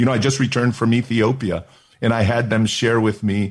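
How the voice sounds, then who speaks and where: A man talks in an animated tone with a somewhat breathy voice. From Oakland, California. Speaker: senior pastor. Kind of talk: interview and sermon excerpts.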